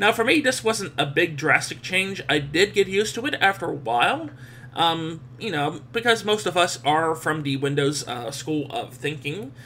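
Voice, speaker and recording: A fairly high-pitched man with lively intonation at a moderate pace, over noticeable background noise. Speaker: tech video reviewer. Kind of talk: software review screencast. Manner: hesitant, many fillers.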